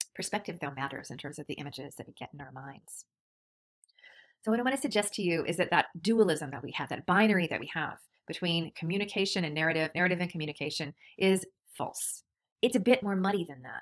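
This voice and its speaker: A woman's fairly low voice at a very fast pace, with lively intonation and big swings in loudness, on a very clean recording with a silent background. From Canada. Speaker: university lecturer. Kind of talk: lecture.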